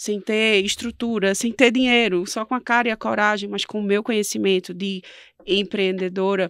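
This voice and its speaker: A woman speaks at a medium pitch in a northeastern Brazilian accent, her intonation fairly even. The recording is very clean and dry, close with no echo, over a silent background. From Northeast Brazil. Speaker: entrepreneur and quiz show winner. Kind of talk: interview.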